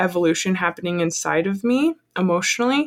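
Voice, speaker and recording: A woman speaks at a moderate pace and medium pitch in a normal speaking voice, with lively intonation. The sound is dry and close with no echo. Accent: American. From Colorado. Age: 20s. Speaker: small business owner. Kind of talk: casual chat.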